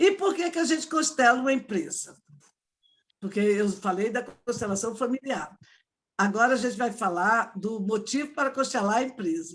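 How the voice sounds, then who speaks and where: At a moderate pace, a woman talks in a fairly high pitch with an animated tone and very wide pitch swings. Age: 60s. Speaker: entrepreneur and family constellation facilitator. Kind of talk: online talk to an audience.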